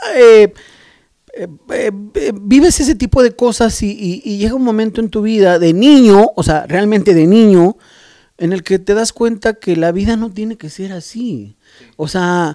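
A man talks at a fairly slow pace in a high pitch, dark and mellow in tone with ordinary pitch variation. The sound is dry with no echo and the background is quiet. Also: big swings in loudness. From Mexico, Oaxaca roots; Mexico. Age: middle-aged. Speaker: graffiti artist and airbrush painter; podcast guest. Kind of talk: casual interview. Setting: artist's studio. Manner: halting, many repetitions. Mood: reflective, warm storytelling. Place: garage. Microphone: handheld.

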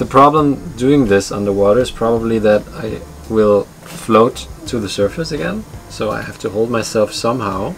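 With faint music in the background, a man speaks at a fairly slow pace, his pitch fairly low and his pitch variation ordinary. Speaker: sailing vlogger. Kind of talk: casual vlog chat. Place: boat.

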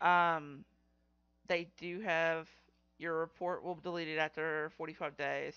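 The pace is fairly slow, with little pitch movement. The tone is fairly bright, clear and smooth. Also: woman, low pitch for a woman.

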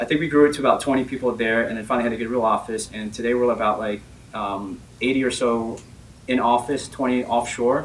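A man with an American accent talks at a fairly quick pace, his intonation fairly even, over light background noise. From Northern Virginia, US, partly Bahamas. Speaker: tech company CEO; speaker. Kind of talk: personal story talk. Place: meeting room.

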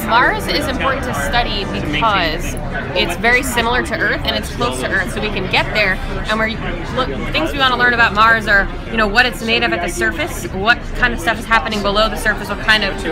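Clear music plays in the background as a woman speaks. Her pace is fairly quick, with ordinary pitch variation. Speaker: exhibit guide. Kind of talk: explanation to a child. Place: hall. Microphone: phone near.

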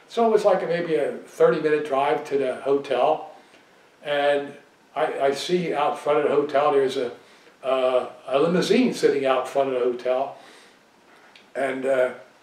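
A man at a fairly slow pace, with long, frequent pauses, ordinary pitch variation and audible room echo. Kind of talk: interview answer, storytelling. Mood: relaxed, nostalgic. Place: home room.

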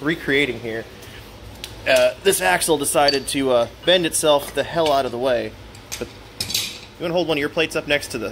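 A man at a fairly quick pace with ordinary pitch variation over noticeable background noise. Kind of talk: casual commentary. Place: workshop. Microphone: camera far.

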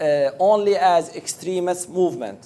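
In an Arabic accent, a man speaks with a high pitch and a dark, mellow tone. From Iraq. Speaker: pollster and academic researcher. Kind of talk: presentation. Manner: halting.

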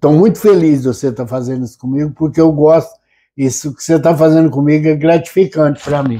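Fairly quick speech from a man with a fairly high, dark, mellow voice, ordinary pitch variation and big swings in loudness, over a quiet background. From Brazil, São Paulo state interior. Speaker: former city councillor, rodeo founder; former city councillor. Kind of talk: interview. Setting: at home. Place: home room. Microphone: lapel.

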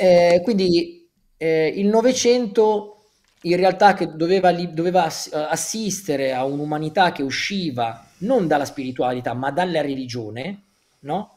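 Speaking at a fairly slow pace, a man uses lively intonation and a high pitch. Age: 30s. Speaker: author; guest. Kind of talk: interview. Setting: livestream. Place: home room. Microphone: earbuds.

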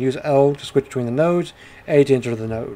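A dark, mellow tone at a very fast pace. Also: man. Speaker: video game streamer and reviewer. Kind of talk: game review and gameplay commentary, casual; noir detective narration of in-game text, read aloud. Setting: home recording with gameplay audio. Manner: animated, jokey, upbeat.

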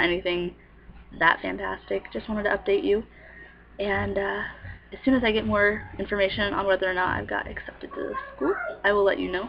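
Over noticeable background noise, a woman speaks with long, frequent pauses. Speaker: aspiring missionary. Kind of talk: casual talk to camera.

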